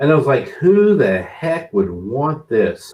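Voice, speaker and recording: The voice has vocal fry. It speaks at a fairly slow pace. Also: man. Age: 60s. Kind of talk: casual chat.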